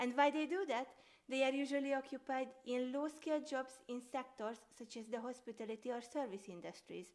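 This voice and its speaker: With a Hungarian accent, the speaker talks at a fairly quick pace with ordinary pitch variation. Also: woman, high pitch for a woman. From Hungary. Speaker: sociology student. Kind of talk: scripted academic podcast.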